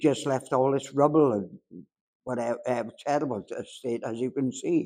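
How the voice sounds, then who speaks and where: This speaker talks at a fairly slow pace in a South Wales accent. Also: man. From Swansea, Wales. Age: 80s+. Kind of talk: interview answer. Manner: hesitant, conversational.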